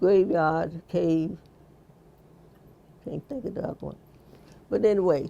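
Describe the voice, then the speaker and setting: A woman with a Virginia accent speaks fairly slowly in a fairly low voice, with ordinary pitch variation, big swings in loudness, and long, frequent pauses. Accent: Southern US (Virginia). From Halifax County, Virginia. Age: 80s+. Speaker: quilter. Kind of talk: interview answer.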